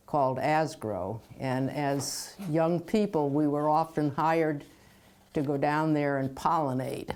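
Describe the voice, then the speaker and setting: Very deep and low in pitch, a woman with an American accent speaks at a fairly slow pace with ordinary pitch variation and very even loudness. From Orange, Connecticut, US. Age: 80s+. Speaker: local resident interviewed about town history. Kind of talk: oral history interview. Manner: halting, many fillers.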